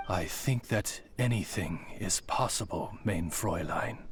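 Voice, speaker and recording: A man puts on a character voice with a fairly low pitch, speaking at a fairly slow pace against clear background noise. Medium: video game. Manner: formal, old-fashioned courtesy.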